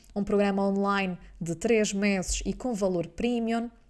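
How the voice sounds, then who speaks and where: A woman with a normal speaking voice and a medium pitch talks at a fairly slow pace with fairly even intonation, in a very clean recording with a silent background. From Azores, Portugal. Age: 20s. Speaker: business mentor and coach. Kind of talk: podcast monologue.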